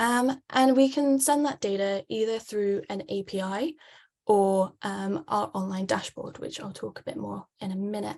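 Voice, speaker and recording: A woman speaks fairly slowly in a British accent, at medium pitch with ordinary pitch variation. Her loudness swings widely. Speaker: wave buoy sales representative. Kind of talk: webinar presentation. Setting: online webinar. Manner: frequent filler words (um).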